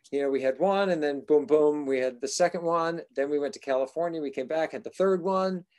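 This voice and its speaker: A man with an American accent has a normal speaking voice, fairly high in pitch with ordinary pitch variation, moving fairly quickly with hardly any pauses. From Massachusetts. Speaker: actor and singer. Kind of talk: casual chat.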